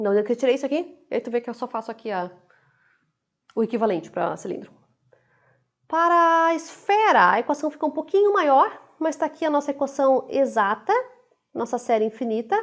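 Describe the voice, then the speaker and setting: A woman with a high pitch speaks at a fairly quick pace, her pitch swinging very widely. Long, frequent pauses break up her speech over a quiet background. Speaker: university lecturer. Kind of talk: lecture. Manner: fast.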